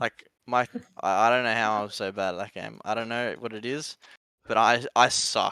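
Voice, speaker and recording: With an Australian accent and a bright, sharp tone, a man of medium pitch speaks at a moderate pace with fairly even intonation, in a dry, close sound with no echo. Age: 20s. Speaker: esports pro player. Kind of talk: podcast interview.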